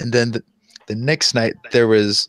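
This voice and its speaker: A man with an American accent and an unremarkable speaking voice, fairly low in pitch, at a moderate pace, with a dry, close sound and no echo. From US South. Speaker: national guard soldier. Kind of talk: casual chat. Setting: online voice chat.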